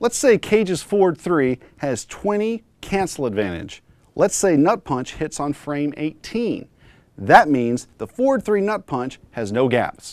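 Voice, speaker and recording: A man speaks at a fairly high pitch with very wide pitch swings. The recording is very clean, with a silent background. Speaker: esports podcast host and pro fighting game player. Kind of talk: educational podcast tutorial.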